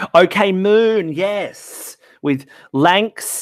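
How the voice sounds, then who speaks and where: A man with an Australian accent speaks in a high pitch with lively intonation. The sound is dry and close, with no echo. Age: 20s. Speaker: music writer and artist manager. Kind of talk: casual chat.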